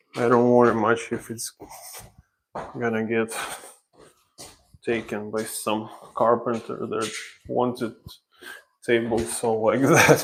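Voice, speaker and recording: With a Ukrainian accent, a man of medium pitch speaks in a flat monotone at a very slow pace, leaving long, frequent pauses. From Ukraine. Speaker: renovation contractor. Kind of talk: live stream tutorial. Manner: casual, halting.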